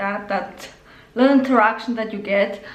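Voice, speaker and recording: A woman talks at a moderate pace with fairly even intonation, and some room echo can be heard. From Spain (Galicia). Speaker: tarot reader. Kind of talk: tarot reading. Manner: casual, many filler words.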